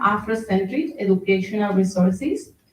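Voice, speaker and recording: With a Spanish accent, a woman speaks at a moderate pace in a somewhat breathy voice of medium pitch and ordinary pitch variation. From Spain, Murcia. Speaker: engineer and anti-racism activist. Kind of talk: talk at online event. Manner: halting, with fillers.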